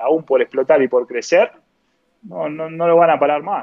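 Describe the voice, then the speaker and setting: At a moderate pace, a man with an unremarkable speaking voice talks at a fairly high pitch. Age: 30s. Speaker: professional footballer. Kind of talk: interview.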